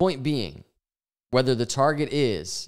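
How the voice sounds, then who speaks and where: The recording is very clean, with a silent background. A man is the speaker. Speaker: crypto market analyst. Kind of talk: chart analysis commentary. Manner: fast; casual, filler-heavy.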